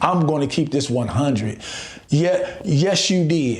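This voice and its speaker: A man with an American accent talks at a fairly slow pace, his voice somewhat breathy and fairly high, with ordinary pitch variation. Audible room echo surrounds him. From Chicago, US. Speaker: relationship and recovery coach. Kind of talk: motivational podcast monologue.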